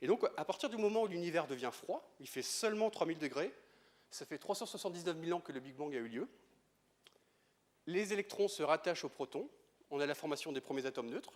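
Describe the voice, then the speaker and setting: Here a man with a Breton accent talks at a fairly quick pace and a high pitch, his intonation lively. His loudness swings widely, and he takes long, frequent pauses. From Brittany, France. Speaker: astrophysicist. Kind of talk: lecture. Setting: stage with audience. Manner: fast.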